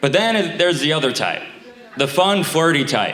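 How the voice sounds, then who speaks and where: A man with an American accent talks at a fairly quick pace with ordinary pitch variation. Noticeable background noise and audible room echo fill the recording. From Staten Island, New York. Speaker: stand-up comedian. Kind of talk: stand-up. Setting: stage with audience. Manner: halting.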